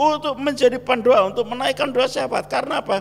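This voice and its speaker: Over noticeable background noise, a man with a Javanese accent speaks at an extremely high pitch. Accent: Javanese-accented Indonesian. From Java, Indonesia. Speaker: pastor. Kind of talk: sermon.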